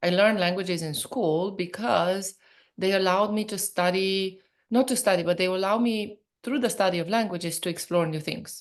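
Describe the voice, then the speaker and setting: A woman's medium-pitched voice with a Romanian accent, ordinary pitch variation and a moderate pace, against a quiet background. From Romania (Transylvania). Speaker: professor and entrepreneur. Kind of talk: interview conversation. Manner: animated.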